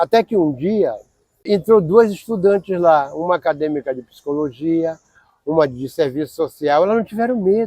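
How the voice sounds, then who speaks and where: With a dark, mellow tone and a high pitch, a man speaks at a moderate pace with lively intonation, the sound dry and close with no echo. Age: 60s. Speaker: former homeless person, mental health service user. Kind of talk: documentary interview testimony.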